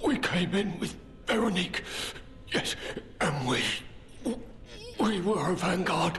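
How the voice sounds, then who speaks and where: Using a put-on character voice pitched high, a man speaks at a fairly slow pace over clear background noise. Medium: video game. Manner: stammering, repetitive, frantic.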